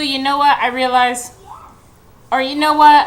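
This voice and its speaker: A woman speaks at a high pitch in a playful tone at a moderate pace. Audible room echo and noticeable background noise are present. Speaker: home cooking vlogger. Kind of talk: cooking tutorial. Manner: casual, playful.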